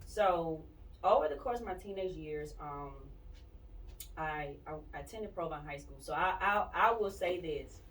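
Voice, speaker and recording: Pausing long and often, a woman talks at a moderate pace in a fairly low pitch, with ordinary pitch variation, big swings in loudness and audible room echo. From Mississippi, Jackson. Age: 20s. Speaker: singer-songwriter. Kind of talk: interview.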